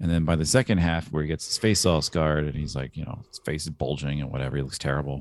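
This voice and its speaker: Speaking at a very fast pace, a man uses a very deep, low voice marked by vocal fry. His pitch varies in an ordinary way. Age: 30s. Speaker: podcast co-host. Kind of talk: casual chat. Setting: video call.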